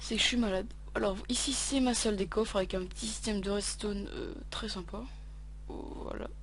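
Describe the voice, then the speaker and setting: Amid audible room echo, a woman talks at a moderate pace. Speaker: gaming youtuber. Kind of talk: gameplay walkthrough. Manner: halting, stammering; casual, filler-heavy.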